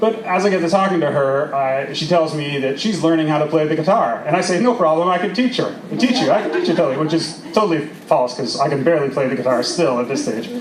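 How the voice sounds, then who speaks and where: A man with a fairly high voice speaks at a very fast pace, with lively intonation and hardly any pauses. Noticeable background noise and audible room echo surround him. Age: 40s. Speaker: storyteller. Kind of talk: storytelling performance. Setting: outdoor stage with audience. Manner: animated.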